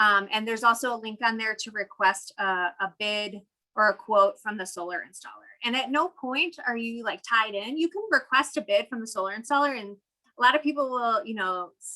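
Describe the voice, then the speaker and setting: A woman's fairly high, bright and sharp voice at a fairly quick pace, with big swings in loudness. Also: ordinary pitch variation. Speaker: city solar program presenter. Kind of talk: webinar presentation. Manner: fast.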